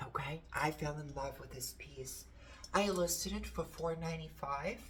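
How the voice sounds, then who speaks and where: A woman's loudness swings widely amid noticeable background noise and audible room echo. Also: moderate pace. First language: Portuguese. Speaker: antiques reseller and vlogger. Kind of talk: casual haul video show-and-tell. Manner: animated.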